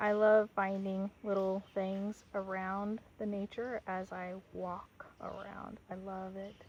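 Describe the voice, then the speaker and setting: Speaking at a very slow pace with hardly any pauses, a woman keeps a medium pitch and monotone, flat intonation. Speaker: English teacher. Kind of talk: tutorial. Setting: outdoors.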